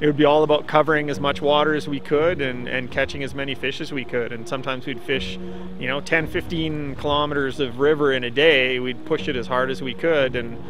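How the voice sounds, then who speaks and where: With hardly any pauses, a man talks at a fairly quick pace in a fairly high pitch against noticeable background noise. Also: ordinary pitch variation. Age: 50s. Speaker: fly fisherman. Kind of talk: documentary interview.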